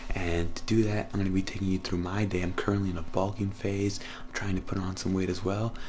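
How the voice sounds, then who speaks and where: A man's very deep, low voice at a very fast pace, monotone and flat, with noticeable background noise and audible room echo. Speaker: fitness vlogger. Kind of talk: vlog tutorial. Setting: home kitchen. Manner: casual, hesitant with fillers.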